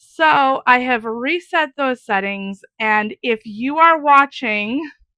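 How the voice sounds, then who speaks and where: Loud and high-pitched, a woman speaks at a very slow pace with an American accent. Her tone is bright and sharp, her intonation lively. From US Midwest, Wisconsin. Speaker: craft YouTuber. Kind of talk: casual chat.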